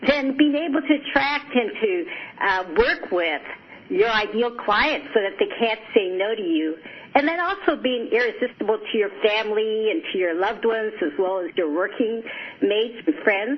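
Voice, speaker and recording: At a moderate pace, a woman with a fairly high voice swings widely in pitch over noticeable background noise. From Japan, moved to US at age seven. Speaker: psychologist and life coach. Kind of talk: radio interview.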